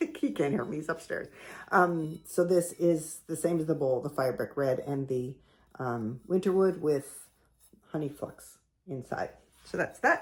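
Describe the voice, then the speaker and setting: A quiet woman with a Canadian accent, very deep and low in pitch, with ordinary pitch variation. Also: fairly slow pace. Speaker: potter. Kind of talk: casual show-and-tell tutorial. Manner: quiet, talking low; casual, halting with fillers.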